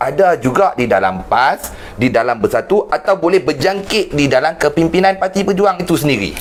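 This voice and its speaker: A man talks in a high voice while noticeable background noise runs underneath. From Penang, northern Malaysia. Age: 40s. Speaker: online talk show host. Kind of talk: political interview.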